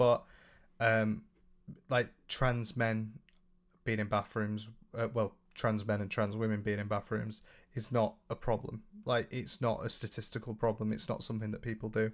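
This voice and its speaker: A fairly low-pitched man speaks at a moderate pace with fairly even intonation. He leaves long, frequent pauses. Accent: British. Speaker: livestreamer reading chat. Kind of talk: casual live stream chat. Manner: hesitant, many fillers.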